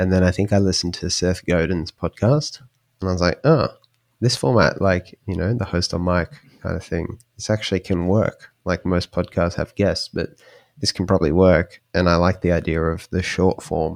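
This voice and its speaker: A quiet man with a very deep, low voice at a moderate pace, ordinary pitch variation, and a dry, close sound with no echo on a very clean recording with a silent background. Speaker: indie podcaster. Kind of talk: casual interview conversation.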